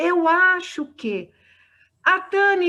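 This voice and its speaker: A woman projects a raised voice with a bright, sharp tone. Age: 60s. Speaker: spiritist lecturer. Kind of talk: discussion Q&A.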